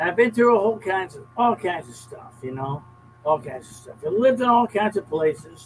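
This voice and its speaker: Very wide pitch swings and big swings in loudness at a fairly quick pace, over noticeable background noise. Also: man, high pitch for a man. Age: 70s. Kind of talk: casual chat. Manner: repetitive, emphatic.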